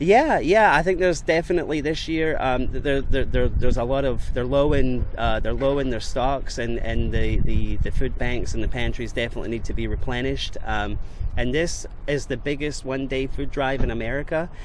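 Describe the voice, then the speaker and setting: A man talks at a fairly quick pace in a Scottish accent. Audible room echo and noticeable background noise are present. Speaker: mail carrier. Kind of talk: radio interview. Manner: halting, many fillers and repeats.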